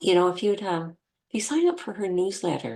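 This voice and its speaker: A plain, everyday voice from a woman at medium pitch, with ordinary pitch variation against a quiet background. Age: 60s. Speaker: akashic record reader. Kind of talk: casual chat.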